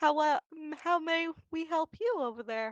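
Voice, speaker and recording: In a put-on character voice pitched extremely high, a woman speaks at a moderate pace with lively intonation, the sound dry and close with no echo. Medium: actual play.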